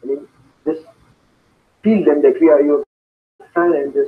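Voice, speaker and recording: The voice belongs to a man. He speaks with a Pakistani accent. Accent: Pakistani accent resembling Indian. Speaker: student. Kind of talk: interview. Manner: halting.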